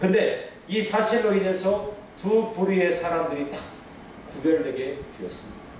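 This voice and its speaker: Noticeable background noise and audible room echo surround a man who talks fairly slowly. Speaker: pastor. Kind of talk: sermon.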